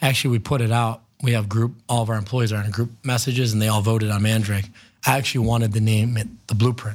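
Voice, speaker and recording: Somewhat breathy and very fast, a man with an American accent speaks at a medium pitch with fairly even intonation and very even loudness, in a very clean recording with a silent background. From Ohio, Cleveland area. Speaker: restaurant entrepreneur. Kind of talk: interview.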